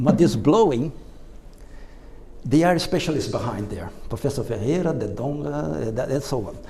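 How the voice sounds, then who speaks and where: A man with a non-native accent speaks in a medium pitch at a moderate pace, with very wide pitch swings and long, frequent pauses. Audible room echo surrounds his voice. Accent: non-native English, noticeable. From Brazil. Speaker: electrical engineer and speaker. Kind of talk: presentation to audience. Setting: stage with audience at exposition. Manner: halting.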